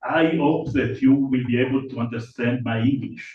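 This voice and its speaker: With an Italian accent, a man speaks at a fairly slow pace in fairly even intonation, and audible room echo surrounds him. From Italy. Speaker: academic conference speaker. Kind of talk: lecture. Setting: conference hall with microphone. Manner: halting, with hesitations.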